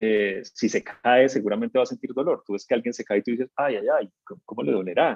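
At a fairly quick pace, a dark, mellow voice moves with lively intonation in a dry, close recording that has no echo. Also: man. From Colombia, Cali. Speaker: voice and communication coach. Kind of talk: interview.

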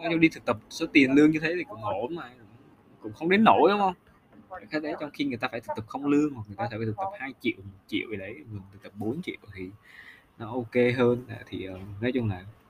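A man talks very fast at medium pitch, with very wide pitch swings. Long pauses come often. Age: 20s. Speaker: solo podcaster, recent intern. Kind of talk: casual personal monologue.

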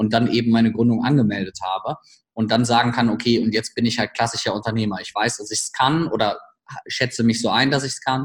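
The man's somewhat breathy, medium-pitched voice moves at a fairly quick pace with fairly even intonation. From Germany, village. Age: 30s. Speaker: startup coach. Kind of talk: podcast interview.

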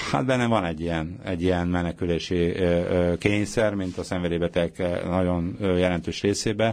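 The man's pace is moderate. His pitch sits very deep and low. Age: old. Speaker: former schoolteacher and recovering addict. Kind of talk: radio interview. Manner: halting.

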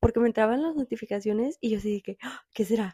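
In a very clean recording with a silent background and a dry, close sound with no echo, a woman speaks fairly quickly in a dark, mellow tone. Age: 20s. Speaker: podcast host. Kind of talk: casual chat.

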